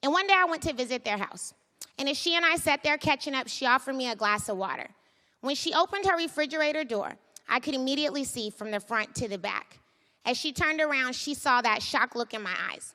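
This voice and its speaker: A woman with an American accent talks at a very fast pace. Her voice is raised, projected, and high in pitch. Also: lively intonation. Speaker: startup founder. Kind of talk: storytelling talk. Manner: conversational.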